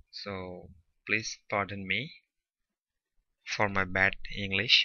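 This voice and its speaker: Monotone and flat, a man with a non-native accent speaks at a fairly low pitch and a very slow pace. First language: not English. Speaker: tech tutorial youtuber. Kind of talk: screen-recorded tutorial.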